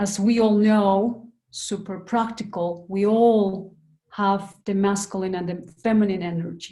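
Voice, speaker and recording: A woman speaks at a medium pitch with a dark, mellow tone. Her intonation is fairly even and her voice somewhat breathy. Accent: Andean. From Peru. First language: Quechua. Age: young. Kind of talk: panel discussion. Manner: halting.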